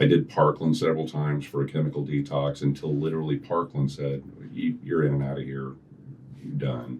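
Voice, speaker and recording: With a very deep, low pitch, a man speaks at a fairly quick pace and with fairly even intonation. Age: 60s. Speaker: recovered alcoholic, recovery program coordinator. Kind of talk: interview, personal testimony.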